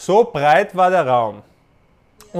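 This man's voice sits high, and his intonation is lively. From Panama. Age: 20s. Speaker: boxer. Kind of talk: casual interview. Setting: remote call from his apartment. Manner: halting, many fillers and restarts.

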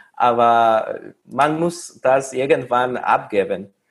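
A man speaks with a Mexican accent on a very clean recording with a silent background. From Mexico. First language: Spanish (speaking German). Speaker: recent master's graduate. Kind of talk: interview. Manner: halting, with fillers.

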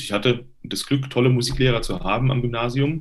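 A man's medium-pitched voice at a moderate pace. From Hesse, Germany (Limburg). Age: 30s. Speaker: tenor and voice professor. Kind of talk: interview. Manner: hesitant with fillers.

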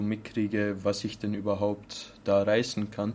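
With monotone, flat intonation, the man talks at a fairly low pitch. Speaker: bartender. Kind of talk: interview. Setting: bar.

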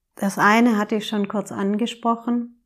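A woman speaks with a fairly high pitch and fairly even intonation. The recording is very clean, with a silent background. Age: 40s. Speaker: podcast host, emotions coach. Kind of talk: solo podcast monologue, advice talk.

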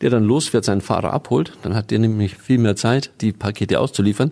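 The man has a fairly low pitch. His tone is dark and mellow. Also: very clean recording, silent background. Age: 50s. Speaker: automotive sales and marketing executive. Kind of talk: interview.

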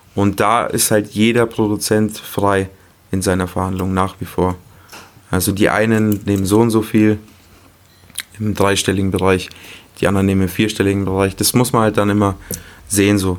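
The speech moves at a moderate pace with long, frequent pauses and monotone, flat intonation. Noticeable background noise sits behind it. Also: man, fairly low pitch for a man. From Munich, Germany. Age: 20s. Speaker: music producer. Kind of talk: casual chat.

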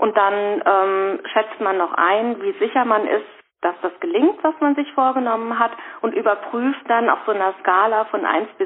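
A woman talks at a fairly slow pace in a fairly high voice. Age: 50s. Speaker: rheumatism patient and course trainer. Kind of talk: casual interview. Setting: phone call. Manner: hesitant, many fillers. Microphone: reduced phone-line quality.

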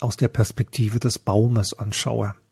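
Somewhat breathy and dark, mellow in tone, a man of medium pitch speaks at a fairly slow pace with a dry, close sound and no echo. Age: 50s. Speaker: health scientist and psychedelic researcher. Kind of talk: interview.

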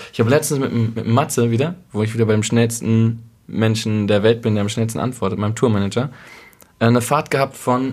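Ordinary pitch variation marks a man's normal speaking voice, set at a medium pitch and a moderate pace. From East Westphalia, Germany. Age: 20s. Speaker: musician. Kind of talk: casual chat. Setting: kitchen table at host's home.

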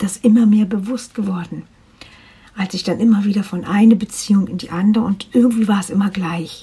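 Her voice sits at a medium pitch and is somewhat breathy. The woman keeps a fairly quick pace and fairly even intonation. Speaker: life coach podcaster. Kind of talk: personal testimony monologue.

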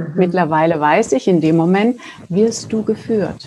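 Somewhat breathy and dark, mellow in tone, a woman talks fairly slowly at a medium pitch. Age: 50s. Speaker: spiritual healer. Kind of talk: casual interview chat. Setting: video call.

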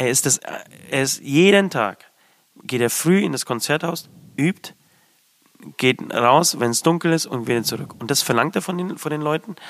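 A man at a moderate pace, his pitch fairly high. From abroad, came to Germany as a child. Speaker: metal band musician. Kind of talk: casual chat. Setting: studio.

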